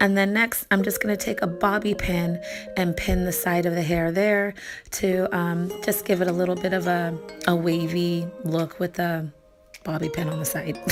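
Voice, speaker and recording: With music in the background, a woman speaks at a fairly low pitch with fairly even intonation. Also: moderate pace. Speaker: wig reviewer. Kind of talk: casual talk to camera.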